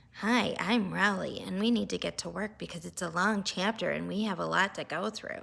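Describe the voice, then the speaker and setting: A put-on character voice that sounds female, nasal and medium-pitched for a woman, moves at a moderate pace with hardly any pauses. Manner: annoying, mocking.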